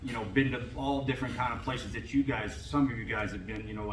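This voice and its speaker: Noticeable background noise and audible room echo surround a man speaking with fairly even intonation. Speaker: former football coach and scout, panelist. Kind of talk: panel talk to college athletes. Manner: halting.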